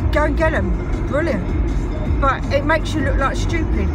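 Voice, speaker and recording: Clear music plays in the background as a woman speaks at a moderate pace, her voice dry with no echo. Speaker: vlogger. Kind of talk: casual vlog rant. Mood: annoyed, ranting. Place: car. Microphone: phone near.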